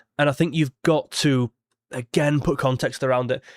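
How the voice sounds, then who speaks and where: Recorded very cleanly with a silent background and a dry, close sound with no echo, a man speaks at a fairly high pitch with ordinary pitch variation. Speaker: football YouTuber. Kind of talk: live stream match reaction. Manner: casual, conversational.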